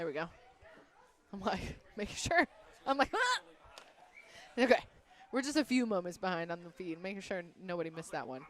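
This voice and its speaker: Amid noticeable background noise, a woman with a medium pitch speaks in an animated tone at a fairly quick pace, with very wide pitch swings, big swings in loudness, and long, frequent pauses. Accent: American. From northern US. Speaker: grappling tournament commentator. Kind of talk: live commentary.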